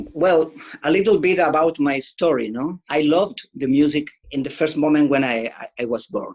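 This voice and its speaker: A man with a Spanish accent, fairly high-pitched, at a moderate pace with ordinary pitch variation. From Chile. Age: 60s. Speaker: guitarist. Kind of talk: interview. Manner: halting.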